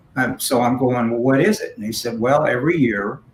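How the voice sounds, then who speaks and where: A man talks in a medium pitch. There is a somewhat breathy quality to his voice. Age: 60s. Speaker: philanthropist and community leader. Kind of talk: panel conversation. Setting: virtual event.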